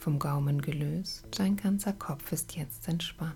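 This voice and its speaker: This woman speaks at a very slow pace in a very deep, low pitch, her tone dark, mellow, gentle and calm, somewhat breathy, with fairly even intonation. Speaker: meditation guide. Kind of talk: guided meditation. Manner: slow, calm, soothing, with long pauses; gentle, measured, counting breaths in even rhythm.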